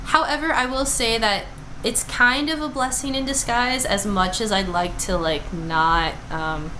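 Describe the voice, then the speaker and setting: A loud woman speaks at a fairly high pitch and a fairly slow pace, with very wide pitch swings. Noticeable background noise and audible room echo fill the recording. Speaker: vlogger and nursing student. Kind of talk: casual vlog monologue. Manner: chatty with many fillers.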